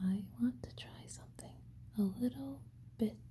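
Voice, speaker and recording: Whispering comes at a fairly slow pace in a soothing tone. Light background noise sits underneath. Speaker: ASMR creator. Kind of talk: ASMR binaural whispering. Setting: binaural microphone recording. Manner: whispered, soothing. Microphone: studio mic.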